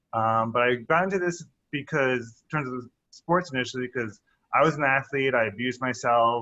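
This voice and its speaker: Loud and bright with a sharp tone, a man's medium-pitched voice moves at a fairly slow pace with ordinary pitch variation. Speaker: physician. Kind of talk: interview.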